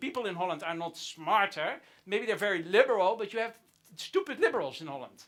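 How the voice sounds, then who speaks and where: A man speaks in a raised, projected voice at a fairly quick pace. His tone is bright and sharp. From Netherlands. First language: Dutch. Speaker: comedian. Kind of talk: stand-up.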